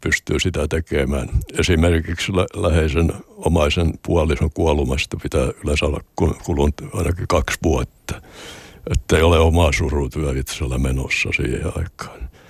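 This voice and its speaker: Delivery is moderate in pace. Pitch varies in an ordinary way, and the sound is dry and close with no echo. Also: man. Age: 80s+. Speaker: retired sea captain and hospice volunteer. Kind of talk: interview.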